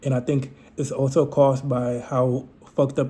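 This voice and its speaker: This man's medium-pitched voice is somewhat breathy, with a dark, mellow tone. His intonation is monotone and flat. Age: 20s. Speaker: vlogger. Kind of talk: casual monologue to camera. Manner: halting, many fillers.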